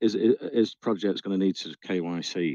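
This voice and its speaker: A man talks at a fairly slow pace with a Northern English accent. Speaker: community AMA host. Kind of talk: interview.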